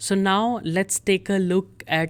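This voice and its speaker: A woman's fairly low voice with an Indian accent at a very slow pace, on a very clean recording with a silent background. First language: Hindi. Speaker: German language teacher. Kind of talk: tutorial.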